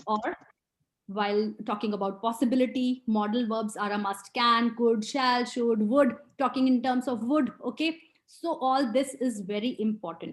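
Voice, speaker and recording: This woman has a normal speaking voice, pitched fairly high. She keeps a moderate pace and ordinary pitch variation. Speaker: IELTS trainer. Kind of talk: webinar lecture. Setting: online webinar.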